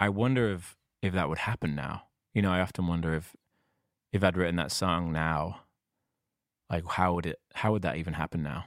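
On a very clean recording with a silent background, a man with a northern English accent speaks in a very deep, low pitch with ordinary pitch variation and long, frequent pauses. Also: fairly quick pace. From northern England. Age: 40s. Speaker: singer-songwriter. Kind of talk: casual interview.

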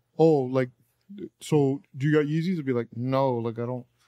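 A man with a Californian accent, medium pitch, a dark, mellow tone, fairly even intonation and a moderate pace. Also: long, frequent pauses. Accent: Californian American English. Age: 30s. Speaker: sneaker podcast co-host. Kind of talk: casual chat.

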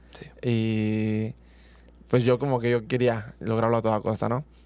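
This man speaks at a medium pitch. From Mexico, Michoacán. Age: 20s. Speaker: track athlete. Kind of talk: interview. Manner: halting.

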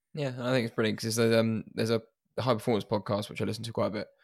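A man speaks at a very fast pace with monotone, flat intonation and vocal fry, recorded with a dry, close sound with no echo. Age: 20s. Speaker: podcast host. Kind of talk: casual interview.

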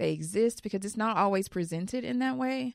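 At a fairly quick pace, a woman speaks in a normal speaking voice at a medium pitch, with a dry, close sound with no echo and a very clean recording with a silent background. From Texas (Houston). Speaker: influencer and teacher. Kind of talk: interview conversation.

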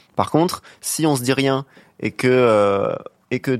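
The recording is very clean with a silent background, and a man speaks at medium pitch in a normal speaking voice, with ordinary pitch variation. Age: young. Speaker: panelist giving a man's view. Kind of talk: casual chat.

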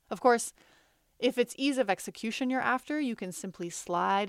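A woman's ordinary speaking voice with lively intonation at a moderate pace, in a very clean recording with a silent background and a dry, close sound with no echo. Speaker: narrator. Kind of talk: reading aloud an essay.

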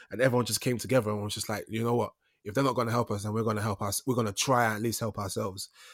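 On a very clean recording with a silent background, a man with a London accent speaks very fast at a medium pitch in a monotone, flat intonation. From East London. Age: young. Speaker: actor. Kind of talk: casual chat.

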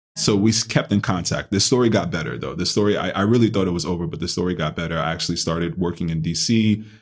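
Talking at a very fast pace in a New York accent, a man with a very deep, low pitch shows ordinary pitch variation. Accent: New York American. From Bronx, New York. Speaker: chef. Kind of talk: casual interview chat.

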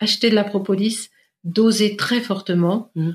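A somewhat breathy woman with a medium pitch speaks at a very slow pace with fairly even intonation. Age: 50s. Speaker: naturopath. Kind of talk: interview.

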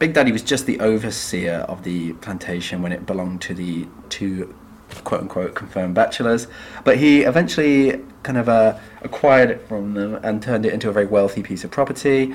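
This man speaks at a medium pitch with an English accent.

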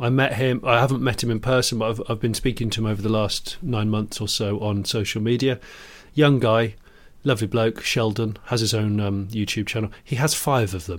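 A man with a British accent speaks at a medium pitch and a fairly quick pace, with fairly even intonation. The recording is very clean, with a silent background. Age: 40s. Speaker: podcast co-host, TV presenter and YouTuber. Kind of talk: casual chat.

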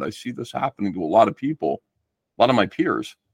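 At a fairly quick pace, a man speaks in a New Jersey accent, the sound dry and close with no echo against a quiet background. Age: 50s. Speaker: comic book artist. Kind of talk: casual chat.

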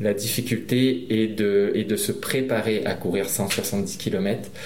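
A man speaks very slowly at a medium pitch, with audible room echo and noticeable background noise. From Réunion. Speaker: trail runner. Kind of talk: interview. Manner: halting, with repeated words.

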